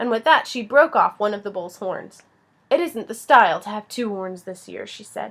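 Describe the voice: Someone does plain reading aloud. Lively intonation carries the lines.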